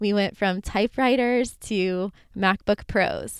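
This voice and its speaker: Recorded very cleanly against a silent background, a woman with an American accent speaks with fairly even intonation in a dry, close sound with no echo. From US South, Florida. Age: 30s. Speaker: podcast host. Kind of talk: solo monologue.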